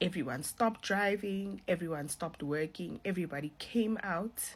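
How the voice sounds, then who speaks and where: Lively intonation marks this woman's fairly low-pitched voice as she speaks at a moderate pace with a non-native accent. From South Africa. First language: not English. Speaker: social media influencer sharing a vision. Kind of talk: testimony. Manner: casual.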